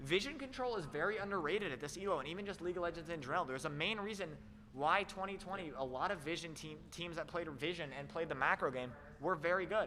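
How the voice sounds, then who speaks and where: Talking at a very fast pace, a man with a high pitch shows ordinary pitch variation. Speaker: esports caster. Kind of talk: live commentary. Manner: animated; loud.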